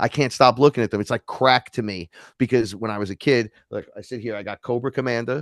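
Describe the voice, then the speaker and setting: With an American accent, a man talks very fast at a medium pitch with big swings in loudness, in a dry, close sound with no echo and a quiet background. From New York. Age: 40s. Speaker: neo-shaman and musician. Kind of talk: casual interview chat. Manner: animated.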